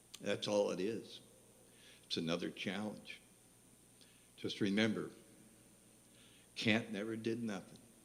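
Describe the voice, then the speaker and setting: Pausing long and often, a man with an American accent talks at a fairly slow pace in a fairly low pitch, his intonation monotone and flat, with audible room echo. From West Virginia. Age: 70s. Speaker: singer-songwriter. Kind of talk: stage banter between songs. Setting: live venue stage with audience. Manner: halting.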